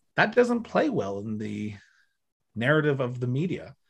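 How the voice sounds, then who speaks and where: With a Canadian accent, this somewhat breathy voice moves at a fairly slow pace with lively intonation. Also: man. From Ontario, Canada. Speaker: podcast host and former political staffer. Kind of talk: casual interview conversation.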